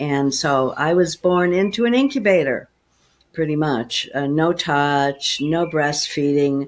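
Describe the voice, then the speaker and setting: A woman speaks at a very deep, low pitch. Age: 70s. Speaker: spiritual teacher and former psychologist. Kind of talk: interview conversation.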